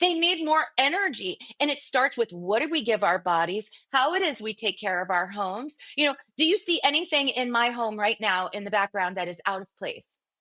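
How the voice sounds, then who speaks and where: With a bright, sharp tone and an animated delivery, a woman speaks at a fairly high pitch that moves in very wide swings. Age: 40s. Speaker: cleaning business owner. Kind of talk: podcast interview.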